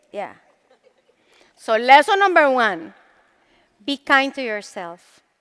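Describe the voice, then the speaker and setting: A woman with a Latin American accent speaks in a high pitch. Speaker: motivational speaker. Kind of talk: motivational talk. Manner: animated.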